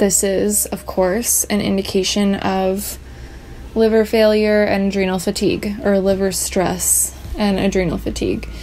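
A woman talks at a fairly slow pace with light noise behind her. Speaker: vlogger sharing chronic illness story. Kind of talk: sit-down personal vlog monologue. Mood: serious, reflective. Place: home room. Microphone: phone near.

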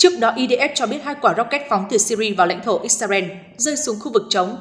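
Over noticeable background noise, a woman talks at a fairly quick pace. Her fairly high voice has lively intonation. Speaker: news presenter. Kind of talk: news reading.

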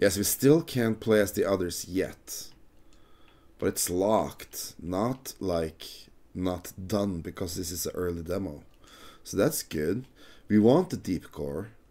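A man speaks at a very slow pace with long, frequent pauses. His intonation is lively. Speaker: gaming video creator. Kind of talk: gameplay commentary. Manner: casual, halting.

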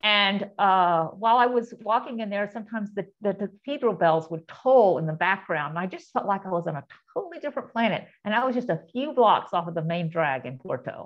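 A woman at a fairly quick pace with hardly any pauses, quiet background. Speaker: presenter. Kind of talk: lecture. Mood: warm, reflective storytelling. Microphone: video call.

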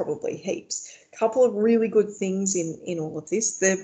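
A natural reading voice, its pitch rising and falling in the ordinary way

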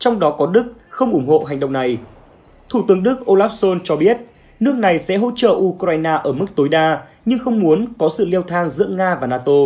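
High-pitched for a man, this voice moves at a fairly quick pace with lively intonation. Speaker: news presenter. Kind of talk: news reading.

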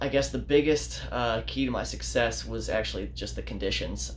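At a moderate pace, a man talks with vocal fry while light background noise sits underneath. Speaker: fishing channel host. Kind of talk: casual vlog chat. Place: home room. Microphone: phone near.

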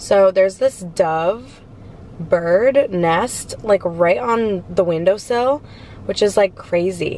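Light noise hums in the background. Against it, a woman talks very slowly. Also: dry sound with no echo. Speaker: vlogger. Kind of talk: casual vlog chat. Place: car. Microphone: phone near.

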